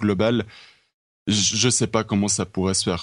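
The background stays quiet. A man talks fairly slowly. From Switzerland. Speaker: esports federation representative. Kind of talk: casual chat.

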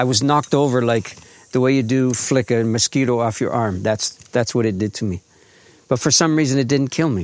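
A man with a normal speaking voice, medium pitch, ordinary pitch variation, very even loudness and a fairly quick pace. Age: 60s. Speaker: author and grief educator, farmer. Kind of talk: interview. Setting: remote recording at his farm.

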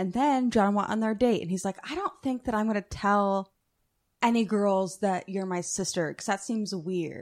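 A woman talks at a medium pitch and a moderate pace, with ordinary pitch variation. She has an unremarkable speaking voice. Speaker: guest co-host. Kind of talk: casual banter. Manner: teasing, joking, profane.

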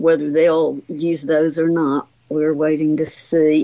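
A woman's very deep, low voice with a Southern US accent. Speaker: retired museum director, naturalist. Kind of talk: call-in radio show.

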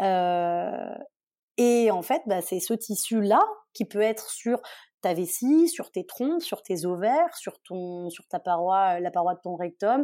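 On a very clean recording with a silent background, a woman with a dark, mellow tone and medium pitch speaks at a very slow pace with lively intonation. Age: 20s. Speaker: beauty student with endometriosis, Instagram creator. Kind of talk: casual interview, personal testimony.

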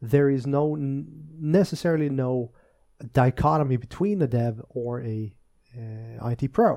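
Fairly slow and medium-pitched, a man speaks with a Swedish accent, a dark, mellow tone and ordinary pitch variation. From Sweden, Östergötland. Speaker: tech podcast co-host, database specialist. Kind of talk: casual chat.

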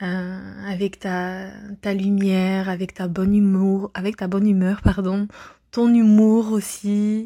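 A woman at a very slow pace, medium in pitch, dark and mellow in tone, with monotone, flat intonation, on a very clean recording with a silent background. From France. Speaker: listener sending voice message. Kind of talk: voice message testimonial.

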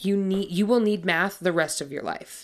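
In a very clean recording with a silent background, a woman uses a put-on character voice at a moderate pace. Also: medium pitch for a woman. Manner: mocking, lecturing.

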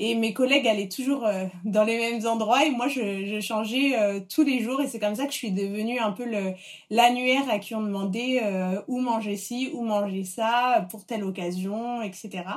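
A plain, everyday voice moves at a fairly slow pace. Its intonation stays fairly even. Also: woman, fairly high pitch for a woman. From Paris, France. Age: 30s. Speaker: food blogger. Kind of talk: interview conversation. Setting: in the host's home.

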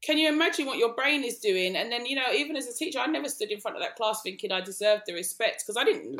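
Speaking at a very fast pace, a woman talks with an East London accent. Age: 40s. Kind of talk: casual chat.

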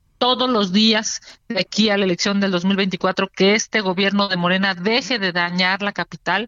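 Speaking at a fairly slow pace with a Mexico City accent, a woman keeps her loudness very even and her intonation fairly even. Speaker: politician. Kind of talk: interview.

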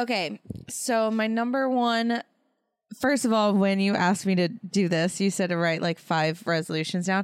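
This is an unremarkable speaking voice, a woman's at medium pitch with ordinary pitch variation and very even loudness. She speaks at a moderate pace on a very clean recording with a silent background. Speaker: podcast host, expectant mother. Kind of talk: casual chat between partners.

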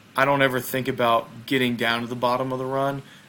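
Fairly even intonation marks a man speaking with a Southern US accent. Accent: Southern American. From US South, small town in Mississippi. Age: 20s. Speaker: bobsled athlete. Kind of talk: casual interview chat.

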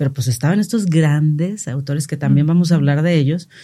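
This woman's voice has a very deep, low pitch, a dark, mellow tone, a somewhat breathy quality and ordinary pitch variation. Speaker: podcast host. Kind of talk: casual chat.

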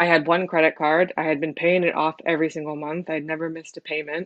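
A woman with a Californian accent, fairly low-pitched, very fast, in a monotone, flat intonation. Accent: Californian American. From San Francisco, California, US. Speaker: immigrant interviewee. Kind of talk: personal testimony.

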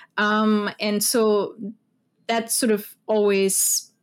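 A woman with a German accent speaks on a very clean recording with a silent background. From Austria, Vienna. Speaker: foreign policy program director. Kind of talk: interview.

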